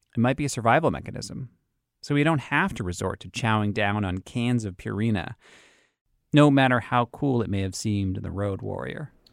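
A man with an American accent speaks fairly quickly at a medium pitch, with ordinary pitch variation, on a very clean recording with a silent background. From Boston, US. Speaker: podcast host. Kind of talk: scripted narration with interviews.

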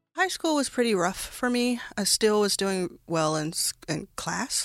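On a very clean recording with a silent background, a woman with an American accent has an ordinary speaking voice, lively intonation and a moderate pace. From Texas, Dallas. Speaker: venture capitalist. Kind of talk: interview.

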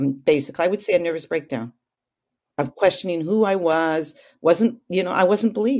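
A woman speaks at a moderate pace in a Canadian accent. Her fairly low voice has lively intonation. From Calgary, Alberta, western Canada. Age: 50s. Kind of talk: interview. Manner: talkative.

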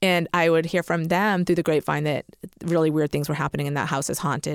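A normal speaking voice with an American accent moves at a fairly quick pace with ordinary pitch variation. The sound is dry and close with no echo, in a very clean recording with a silent background. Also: woman. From Massachusetts. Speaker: author. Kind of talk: casual chat; storytelling.

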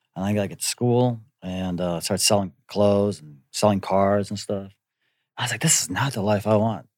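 A man with an American accent and a plain, everyday voice, fairly low in pitch, fairly even in intonation, at a moderate pace with big swings in loudness, on a very clean recording with a silent background. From US Midwest, Wisconsin. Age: 40s. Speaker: actor. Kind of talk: casual chat.

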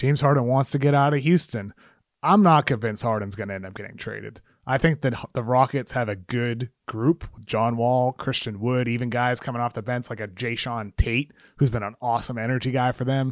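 Recorded dry and close with no echo and a silent, very clean background, a man with an American accent uses an ordinary speaking voice at a fairly quick pace with ordinary pitch variation. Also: medium pitch for a man. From Massachusetts (Brockton, south of Boston). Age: 30s. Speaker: sports writer. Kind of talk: casual interview chat.

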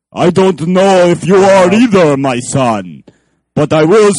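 A man puts on a character voice pitched high. He talks at a fairly slow pace. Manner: theatrical, sinister.

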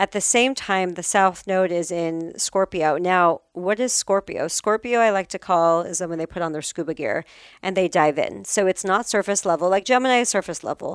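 A woman speaks in a plain, everyday voice at medium pitch, with ordinary pitch variation, a moderate pace, hardly any pauses, and a quiet background. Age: 40s. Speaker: astrologer. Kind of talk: interview; guided meditation.

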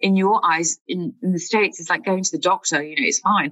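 Speaking with a British accent, the voice moves along at a fairly quick pace. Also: woman. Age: 30s. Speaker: writer sharing mental health experience. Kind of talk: interview.

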